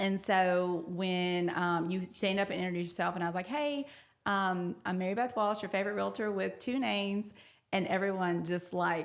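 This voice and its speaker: At a moderate pace, a woman with a Louisiana accent speaks at a medium pitch with ordinary pitch variation. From North Louisiana (Ruston). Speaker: realtor. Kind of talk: casual interview chat.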